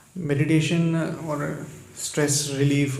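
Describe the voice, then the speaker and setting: Audible room echo and noticeable background noise both come through in this clip. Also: man. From Karnataka, India. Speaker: meditation retreat participant. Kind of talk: testimony.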